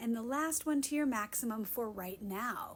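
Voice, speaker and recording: This voice is somewhat breathy, with lively intonation. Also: woman. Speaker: Pilates instructor. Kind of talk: guided workout instruction.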